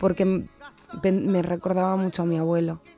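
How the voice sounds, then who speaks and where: Music plays in the background as a woman talks at a moderate pace. Her pitch is fairly low. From Spain, raised between Seville and Barcelona. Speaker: journalist. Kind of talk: interview. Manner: halting, many fillers and restarts.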